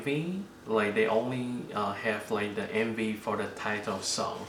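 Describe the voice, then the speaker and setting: Very slow male speech with audible room echo and noticeable background noise. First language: not English. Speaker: K-pop unboxing YouTuber. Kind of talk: casual unboxing vlog. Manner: halting, many fillers.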